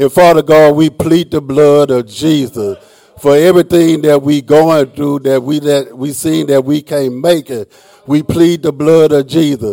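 A man with a fairly high voice talks at a fairly slow pace and fairly even intonation over noticeable background noise. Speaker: worship leader. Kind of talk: opening welcome and congregational prayer. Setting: church.

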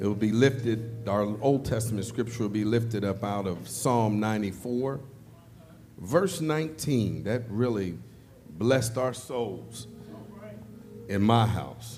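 Over music in the background, a man at a medium pitch speaks at a very slow pace with long, frequent pauses and ordinary pitch variation. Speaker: service leader. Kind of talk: opening welcome and scripture announcement. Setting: church.

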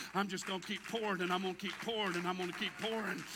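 Over noticeable background noise, a man with an American accent speaks in a raised, projected voice. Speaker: preacher. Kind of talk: sermon. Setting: church with congregation. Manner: animated, rousing call-and-response delivery, repetitive and fervent.

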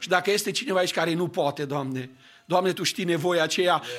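Pitched high for a man, this male voice varies in an ordinary way. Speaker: pastor. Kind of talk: casual sermon. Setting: church.

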